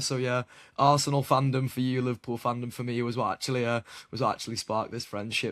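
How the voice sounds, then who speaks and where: A man with a British accent talks at a very fast pace with monotone, flat intonation, in a dry, close sound with no echo. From Britain. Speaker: basketball podcast host. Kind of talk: casual podcast interview.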